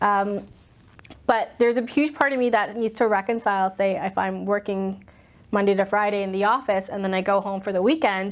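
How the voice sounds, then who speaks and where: Speaking at a fairly quick pace, a woman with an American accent keeps a medium pitch and fairly even intonation. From US Northeast, Boston. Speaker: commercial real estate executive. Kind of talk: interview, personal storytelling. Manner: loud, outspoken.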